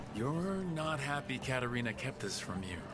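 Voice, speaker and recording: Loud background noise sits behind a man using a put-on character voice. His pitch is medium. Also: moderate pace. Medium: game stream. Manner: direct, questioning.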